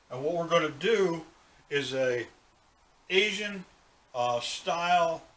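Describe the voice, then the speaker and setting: A relaxed tone with ordinary pitch variation against noticeable background noise. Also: man. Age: 60s. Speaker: cooking show host. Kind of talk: tutorial. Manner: casual, relaxed.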